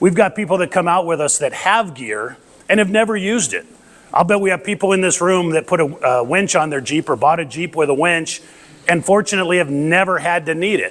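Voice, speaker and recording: A loud man with a high pitch speaks at a fairly quick pace with ordinary pitch variation. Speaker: off-road recovery volunteer and presenter. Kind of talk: lecture.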